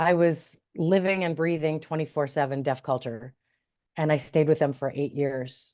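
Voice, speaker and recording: A woman with a Midwestern American accent speaks in a very deep, low voice with a dark, mellow tone. Her intonation is fairly even, and the background is quiet. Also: moderate pace. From US Midwest, Cleveland, Ohio. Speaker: interfaith minister and sign language interpreter. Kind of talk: interview.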